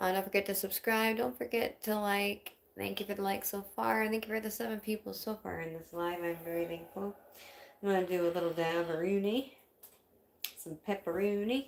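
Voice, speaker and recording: A woman with an American accent speaks at a fairly quick pace in a plain, everyday voice, her pitch medium and its variation ordinary. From Wisconsin, US Midwest. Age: 30s. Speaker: livestreamer with chronic illness, singer-songwriter. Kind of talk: casual livestream chat. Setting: home livestream.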